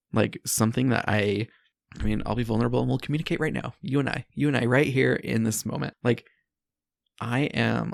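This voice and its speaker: A man speaks with vocal fry and ordinary pitch variation. The sound is dry and close with no echo. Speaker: podcast host and life coach. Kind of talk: solo podcast monologue. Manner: sped up in editing.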